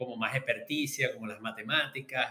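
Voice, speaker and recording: A man with a Venezuelan accent. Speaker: market researcher and professor. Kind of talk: interview. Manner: halting.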